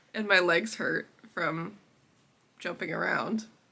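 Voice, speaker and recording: A woman with a medium-pitched voice talks at a fairly slow pace against noticeable background noise. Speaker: crochet small business owner vlogger. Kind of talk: casual vlog talk.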